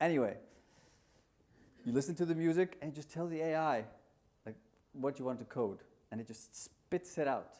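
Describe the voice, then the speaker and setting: This man has a fairly high pitch and a dark, mellow tone, speaking at a moderate pace with ordinary pitch variation. His loudness swings widely, and he takes long, frequent pauses. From Iceland. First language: Icelandic. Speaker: conference speaker, market research tech entrepreneur. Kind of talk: conference talk. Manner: casual, hesitant with fillers.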